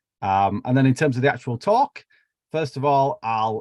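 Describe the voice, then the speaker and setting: Recorded dry and close with no echo, a man with a Yorkshire accent speaks at a fairly quick pace with ordinary pitch variation. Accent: broad Yorkshire. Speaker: biology researcher. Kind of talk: lecture. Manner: casual, with fillers.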